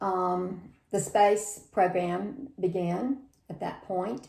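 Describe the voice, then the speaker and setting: In an American accent, a woman speaks very slowly at a medium pitch, her dark, mellow tone held in fairly even intonation. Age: 60s. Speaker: grandmother interviewed by grandchild. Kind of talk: family oral history interview.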